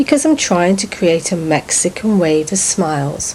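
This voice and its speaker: Someone with an English accent speaks at a moderate pace over noticeable background noise. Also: woman. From England. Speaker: author. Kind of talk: video message.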